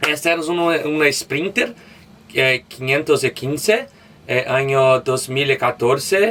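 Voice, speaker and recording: In a Portuguese accent, a man talks at a very slow pace with a fairly high pitch and ordinary pitch variation. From Brazil, Belo Horizonte. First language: Portuguese (speaking Spanish). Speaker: van traveler. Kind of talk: van tour. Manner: halting.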